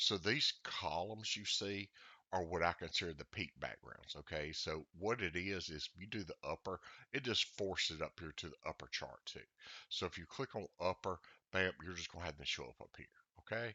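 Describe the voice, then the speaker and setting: Very deep and low, a man's voice with a Southern US accent moves at a moderate pace. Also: ordinary pitch variation. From US South. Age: old. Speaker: trading indicator developer. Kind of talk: tutorial. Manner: casual, halting with many fillers.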